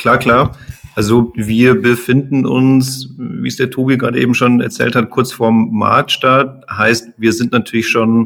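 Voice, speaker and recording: A man with an ordinary speaking voice, medium pitch, fairly even intonation and a fairly slow pace. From Munich, Bavaria. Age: 30s. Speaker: engineer, startup founder. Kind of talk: podcast interview.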